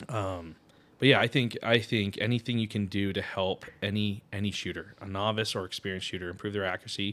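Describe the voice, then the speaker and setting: In an American accent, a man speaks at a very fast pace, with fairly low pitch and fairly even intonation. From Connecticut, US. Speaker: firearms trigger inventor. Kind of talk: interview.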